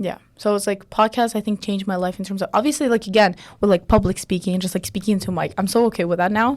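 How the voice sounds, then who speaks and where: A woman with a non-native accent speaks very fast at a medium pitch. Her intonation stays fairly even. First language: not English. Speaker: podcast co-host. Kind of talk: casual chat. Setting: studio.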